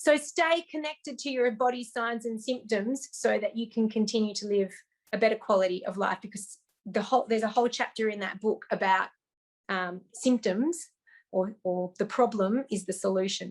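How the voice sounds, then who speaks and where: Here a woman speaks at fairly high pitch, at a moderate pace, with ordinary pitch variation. The recording is very clean, with a silent background. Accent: Australian. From Australia. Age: 40s. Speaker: health author. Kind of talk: interview.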